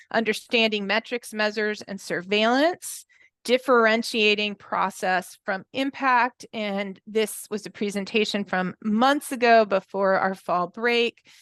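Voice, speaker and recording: In a normal speaking voice, a woman talks at a fairly slow pace with hardly any pauses, her fairly high pitch held in fairly even intonation, the sound dry and close with no echo against a quiet background. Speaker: committee meeting presenter. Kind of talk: work meeting presentation.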